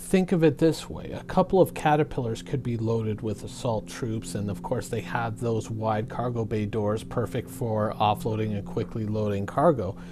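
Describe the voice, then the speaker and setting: Over noticeable background noise, the speaker talks at a moderate pace with lively intonation and hardly any pauses. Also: man, fairly low pitch for a man. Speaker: gaming commentator. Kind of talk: casual gaming commentary talk.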